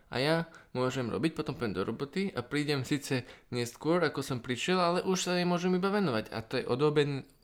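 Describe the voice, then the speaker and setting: Very fast speech from a man with a fairly high pitch and ordinary pitch variation, on a very clean recording with a silent background. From Slovakia, Bratislava. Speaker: podcast co-host, Java programmer. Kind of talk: casual chat.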